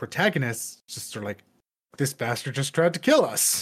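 Somewhat breathy, a man speaks at a moderate pace. His intonation is lively. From Quebec. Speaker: podcast co-host. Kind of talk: casual chat.

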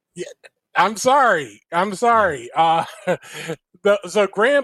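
At a fairly slow pace, a high-pitched man speaks in a dry, close sound with no echo. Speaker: podcast host. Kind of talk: casual chat.

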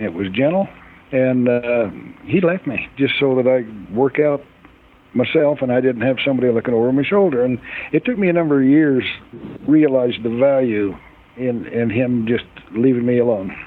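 With an American accent, a man speaks at a moderate pace and medium pitch, his pitch varying in an ordinary way. Long, frequent pauses break up his speech over noticeable background noise. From central Utah. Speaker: farrier. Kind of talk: interview.

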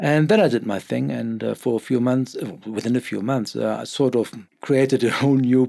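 Speaking at a moderate pace, a man uses a medium pitch, fairly even intonation and a dark, mellow tone. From Germany. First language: German. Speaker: newspaper editor. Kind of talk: interview. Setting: in-person recording.

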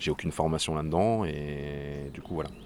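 A man's very deep, low-pitched voice. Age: 40s. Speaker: tech support worker, eco activist. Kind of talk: interview. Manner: halting, many hesitations.

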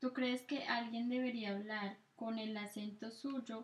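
Somewhat breathy delivery comes through. The speaker is a woman. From Colombia. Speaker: podcast co-host. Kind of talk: casual chat.

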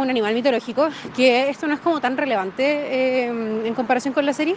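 A high-pitched woman at a fairly quick pace, with ordinary pitch variation, over noticeable background noise. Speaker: listener sending audio comments. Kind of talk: recorded voice message.

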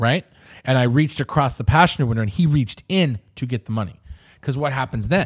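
Speaking at a very fast pace with lively intonation, a man with a medium-pitched, somewhat breathy voice is heard on a very clean recording with a silent background. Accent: American. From Southern California, Inland Empire (Riverside). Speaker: podcast host. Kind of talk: casual chat.

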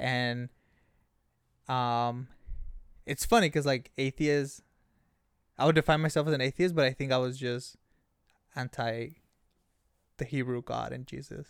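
A man with a Spanish accent, fairly even intonation, a fairly slow pace and long, frequent pauses, in a very clean recording with a silent background. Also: medium pitch for a man. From Mexico, Ensenada, Baja California. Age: 20s. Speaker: youth behavioral worker. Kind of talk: casual interview.

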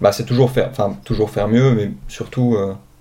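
This man's voice sits at a medium pitch with fairly even intonation. He speaks at a moderate pace over noticeable background noise. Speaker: podcast host. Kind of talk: interview. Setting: video call.

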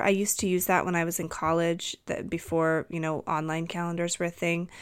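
On a very clean recording with a silent background, a woman talks at a fairly quick pace in a medium pitch. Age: 30s. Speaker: podcast host and intuitive energy healer. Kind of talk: casual solo podcast monologue. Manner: hesitant with frequent fillers.

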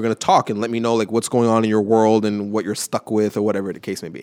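A man with a Canadian accent speaks at a very fast pace with hardly any pauses. His pitch is medium, and the sound is dry and close with no echo. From Montreal, Canada (LaSalle). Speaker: creative consultant and former fashion blogger. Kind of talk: interview. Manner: animated.

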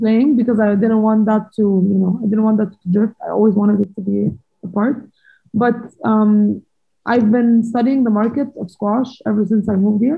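A fairly high, somewhat breathy female voice at a moderate pace, with fairly even intonation. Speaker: former professional squash player. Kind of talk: interview.

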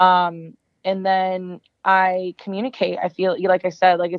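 At a medium pitch, a woman talks with an American accent. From northern Virginia, near Washington D.C. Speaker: talent agent. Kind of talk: casual interview chat.

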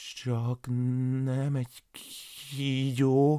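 This man puts on a character voice at a medium pitch. His intonation stays monotone and flat. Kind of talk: fairy-tale narration. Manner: fearful.

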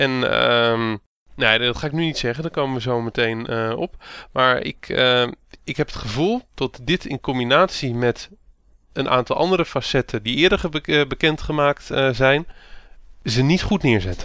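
Against a quiet background, a man with a bright, sharp tone and medium pitch speaks at a moderate pace, with ordinary pitch variation and long, frequent pauses. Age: 30s. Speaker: podcast host. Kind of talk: casual chat.

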